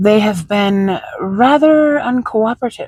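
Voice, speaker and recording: A man speaks in a put-on character voice, pitched extremely high, with lively intonation and a fairly slow pace. A hissing sound runs through his speech. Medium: read story. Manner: smooth, derisive, menacing.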